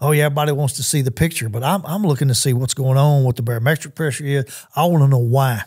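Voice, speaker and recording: This man talks at a very fast pace with a Southern US accent, his voice somewhat breathy and fairly high-pitched. The recording is very clean, the background silent. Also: ordinary pitch variation. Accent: US South. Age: 60s. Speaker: hunter. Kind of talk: casual chat. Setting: studio.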